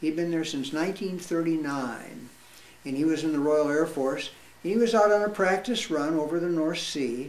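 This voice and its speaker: The voice carries ordinary pitch variation, with audible room echo and noticeable background noise. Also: man. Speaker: war veteran. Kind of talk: storytelling. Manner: halting.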